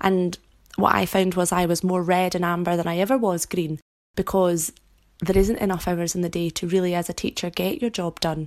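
A woman with a Scottish accent speaks at a fairly quick pace and a fairly low pitch with fairly even intonation. The recording is very clean, with a silent background. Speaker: teacher and podcast host. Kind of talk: solo podcast monologue.

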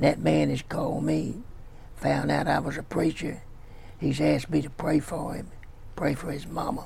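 With long, frequent pauses, a man talks in a Louisiana accent. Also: moderate pace. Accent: US Southern (Louisiana). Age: 80s+. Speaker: pastor. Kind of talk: sermon.

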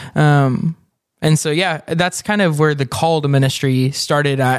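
An ordinary speaking voice from a man with an American accent, fairly high pitch and fairly even intonation, in a very clean recording with a silent background. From Texas, Denton. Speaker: church minister. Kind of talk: casual chat.

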